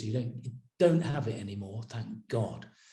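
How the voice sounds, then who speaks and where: A man is speaking. His voice is somewhat breathy. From northern England, Yorkshire (Horsforth, Leeds). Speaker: actor. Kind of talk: interview storytelling. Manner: conversational with hesitations.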